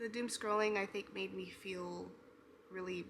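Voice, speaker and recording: Soft-spoken, a woman talks in a medium pitch with a bright, sharp tone. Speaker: writing vlogger. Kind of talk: casual vlog. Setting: at home.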